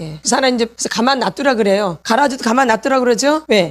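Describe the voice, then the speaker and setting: The delivery is very fast. Intonation is lively, and the tone is animated. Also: woman. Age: 60s. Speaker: pastor's wife and healing ministry teacher. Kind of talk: sermon. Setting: church.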